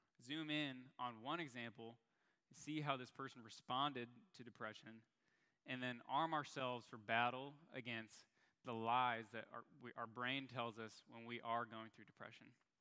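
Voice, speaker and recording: This man has an American accent and a medium pitch, with a bright, sharp tone. He keeps a moderate pace and fairly even intonation. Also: long, frequent pauses, big swings in loudness. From Chicago area, US. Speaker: young adult ministry speaker. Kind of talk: sermon.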